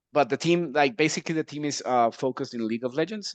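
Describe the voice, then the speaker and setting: A man speaks with a Mexican accent, the sound dry and close with no echo. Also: quiet background. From Mexico. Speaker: esports team executive. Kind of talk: casual chat.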